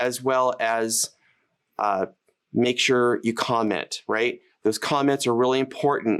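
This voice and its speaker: In a plain, everyday voice, a man with an American accent speaks at a fairly slow pace, medium in pitch, with fairly even intonation. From United States. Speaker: live streaming educator and channel host. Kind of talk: casual interview chat.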